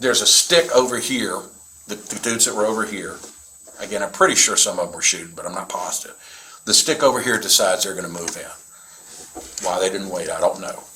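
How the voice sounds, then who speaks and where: In a Southern US accent, a man talks at a fairly quick pace with big swings in loudness. Noticeable background noise runs underneath. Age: 60s. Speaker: reserve police officer / prosecutor. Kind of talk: police interview statement. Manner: casual, halting.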